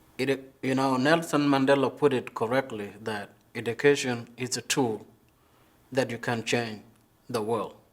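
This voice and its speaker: A man speaks fairly slowly with fairly even intonation. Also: medium pitch for a man. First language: not English. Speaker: community college student. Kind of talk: interview testimony. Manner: halting.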